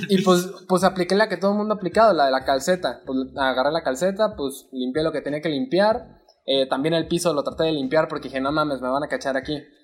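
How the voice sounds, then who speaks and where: A man talks at a very fast pace with hardly any pauses. His pitch varies in an ordinary way. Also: fairly high pitch for a man. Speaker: podcast co-host. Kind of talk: casual chat.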